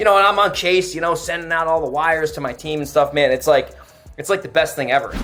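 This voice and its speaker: Over noticeable background noise, a man talks at a very fast pace in an animated tone. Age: 20s. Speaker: real estate wholesaler. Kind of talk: podcast interview.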